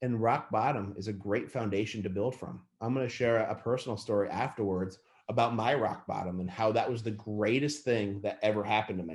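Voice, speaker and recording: In an animated tone, a man with a fairly low pitch talks at a fairly quick pace with hardly any pauses. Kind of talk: lecture. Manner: fast.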